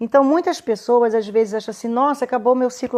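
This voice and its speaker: Her tone is dark and mellow. The woman talks fairly quickly at a fairly high pitch. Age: 60s. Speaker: women's health therapist. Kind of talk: live stream talk. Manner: halting.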